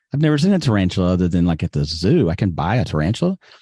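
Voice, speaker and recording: In a dry, close recording with no echo, a man with a Southern US accent talks at a very fast pace in a very deep, low voice with a dark, mellow tone. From US South, Alabama (Birmingham). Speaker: podcast guest. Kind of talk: casual interview chat.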